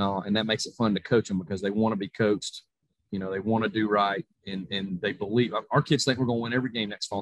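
A man in a Southern US accent, fairly low-pitched, talking at a very fast pace with fairly even intonation. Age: 40s. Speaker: college football coach. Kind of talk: interview.

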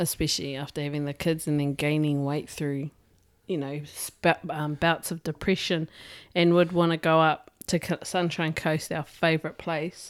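In a very clean recording with a silent background, a woman speaks with a New Zealand accent at a moderate pace. Her very deep, low pitch stays monotone and flat. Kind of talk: casual chat.

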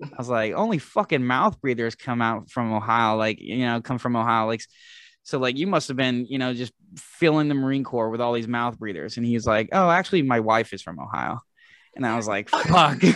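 A plain, everyday voice: a man with an American accent, medium pitch, ordinary pitch variation and a moderate pace, over a quiet background. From Philadelphia. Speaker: podcast co-host, Marine veteran. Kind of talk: casual chat.

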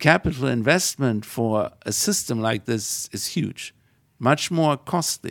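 With a German accent, a man speaks at a fairly slow pace in a medium pitch with lively intonation. The recording is very clean with a silent background and a dry, close sound without echo. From Germany. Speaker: engineering professor. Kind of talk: interview. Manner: hesitant.

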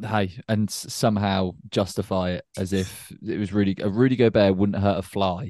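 A man with a British accent speaks at a moderate pace in a fairly low, dark and mellow voice, with fairly even intonation, hardly any pauses and a quiet background. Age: 20s. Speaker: podcast co-host. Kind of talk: casual chat.

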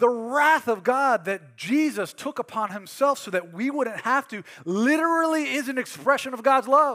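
On a very clean recording with a silent background, a man with an extremely high pitch uses a raised, projected voice, lively intonation and a bright, sharp tone, going at a moderate pace with hardly any pauses. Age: 30s. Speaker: pastor. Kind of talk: sermon. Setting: church.

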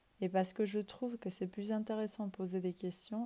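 A woman speaks at a moderate pace in a dark, mellow, somewhat breathy tone. Her intonation stays monotone and flat. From Ecuador. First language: Spanish (speaking French). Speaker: podcast host. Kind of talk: reflective monologue. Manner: hesitant at times.

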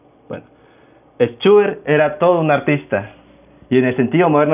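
A man with a Venezuelan Andean accent and a fairly high pitch. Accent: Venezuelan Andean (Táchira) Spanish. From Venezuela, Táchira state. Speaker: podcast host, music student. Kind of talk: casual solo podcast talk.

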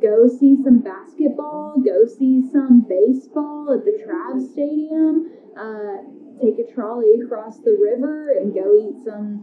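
A woman with a high pitch talks at a fairly slow pace, her intonation lively, while noticeable background noise runs underneath. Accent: Southern US. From northern Arkansas. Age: 30s. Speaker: brewery tour guide. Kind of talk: interview.

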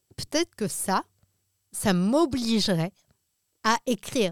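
Very slowly and with very wide pitch swings, a woman speaks in a fairly high voice, in a very clean recording with a silent background and a dry, close sound with no echo. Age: 30s. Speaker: comedian. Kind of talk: casual chat. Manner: halting.

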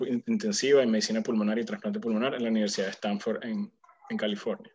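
Fairly quick delivery with lively intonation. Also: man. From Venezuela. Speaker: physician, pulmonologist. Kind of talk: casual conversation. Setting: video call. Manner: hesitant, many fillers.

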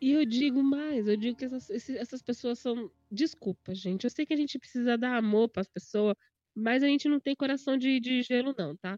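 The tone is dark and mellow, with ordinary pitch variation, a moderate pace, and a dry, close sound with no echo. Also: woman, high pitch for a woman. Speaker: podcast host and gaming youtuber. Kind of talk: casual chat. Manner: loud.

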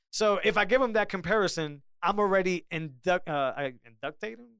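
A loud, high-pitched man at a moderate pace on a very clean recording with a silent background. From Puerto Rican background. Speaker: podcast host. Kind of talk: casual chat.

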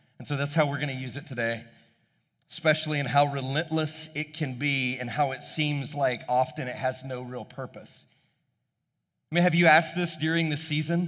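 A normal speaking voice from a man, fairly high in pitch, with fairly even intonation, a moderate pace, and a very clean recording with a silent background. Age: 40s. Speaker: pastor. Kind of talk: sermon.

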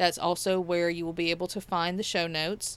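Woman's medium-pitched voice in a Southern US accent, on a very clean recording with a silent background. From Mississippi. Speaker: podcast host, nurse. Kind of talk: podcast outro; casual interview chat.

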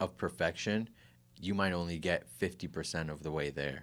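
The voice has ordinary pitch variation at a moderate pace. It is a very clean recording with a silent background. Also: man. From Kitchener-Waterloo, Ontario, Canada. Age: 30s. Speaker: podcast host and music producer. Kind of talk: casual chat.

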